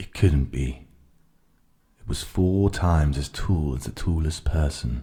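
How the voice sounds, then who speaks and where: A man with a very deep, low pitch and a dark, mellow, somewhat breathy tone speaks very slowly in a calm tone with ordinary pitch variation. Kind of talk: ASMR audiobook reading of a children's story, relaxing. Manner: calm, soft, relaxing.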